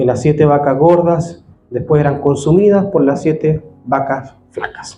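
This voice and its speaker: Noticeable background noise behind a man's fairly high voice, at a fairly slow pace with ordinary pitch variation. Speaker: pastor. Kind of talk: sermon.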